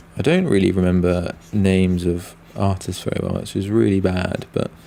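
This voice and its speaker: In a British accent, a man with a very deep, low pitch and a dark, mellow tone speaks at a moderate pace in a monotone, flat delivery. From Britain. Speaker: comic artist and streamer. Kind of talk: live stream chat. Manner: halting, many fillers.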